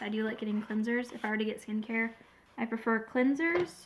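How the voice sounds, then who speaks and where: A woman keeps a moderate pace and ordinary pitch variation while noticeable background noise sits behind her. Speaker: beauty vlogger. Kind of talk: casual unboxing review. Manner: rambling, hesitant.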